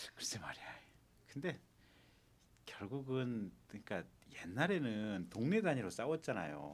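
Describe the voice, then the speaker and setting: Using vocal fry, a man at a medium pitch speaks at a fairly slow pace with very wide pitch swings and long, frequent pauses. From South Korea, Gwangju (Jeolla). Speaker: lawyer, talk show panelist. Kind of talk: casual talk show chat.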